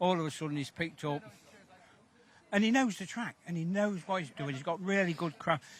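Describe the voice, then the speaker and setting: This man's voice is loud and high-pitched, with ordinary pitch variation. He talks at a fairly quick pace but leaves long, frequent pauses. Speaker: greyhound owner. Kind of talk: live sports interview. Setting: greyhound stadium. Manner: animated.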